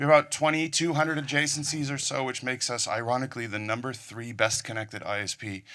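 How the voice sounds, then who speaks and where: A man with an American accent speaks at a moderate pace in a bright, sharp tone. His pitch varies in an ordinary way, and the recording is very clean with a silent background. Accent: sounds American. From Netherlands. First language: Dutch. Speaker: conference speaker, network engineer. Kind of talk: technical conference talk. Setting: stage with audience.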